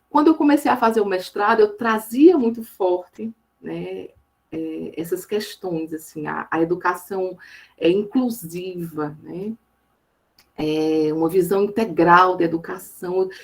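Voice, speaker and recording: Speaking at a very slow pace in a Paraíba accent, the voice has lively intonation and big swings in loudness. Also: woman, medium pitch for a woman. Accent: Paraíba northeastern Brazilian. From Northeast Brazil, Campina Grande, Paraíba. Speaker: education professor. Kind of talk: lecture. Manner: halting, many fillers.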